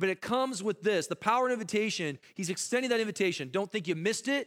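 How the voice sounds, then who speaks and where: This man's voice sits at a high pitch. His pitch variation is ordinary. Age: 40s. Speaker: missionary preacher. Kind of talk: sermon. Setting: church with congregation. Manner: intense.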